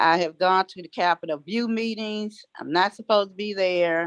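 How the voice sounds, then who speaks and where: A woman with an American accent, fairly even intonation and a moderate pace, in dry, close sound with no echo. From Washington, D.C. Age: 60s. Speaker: resident speaking at a public meeting. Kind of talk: public comment at a community meeting. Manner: halting.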